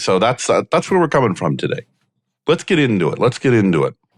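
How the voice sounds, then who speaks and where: A man talks at a very fast pace with vocal fry. His pitch swings very widely while his loudness stays very even. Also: dry, close sound with no echo. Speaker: podcast host. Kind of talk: casual interview chat.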